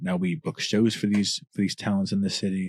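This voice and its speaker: Dry and close with no echo, in a very clean recording with a silent background, a man speaks fairly quickly in a fairly low, dark, mellow voice with lively intonation. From New Orleans. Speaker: rapper. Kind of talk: podcast interview. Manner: casual.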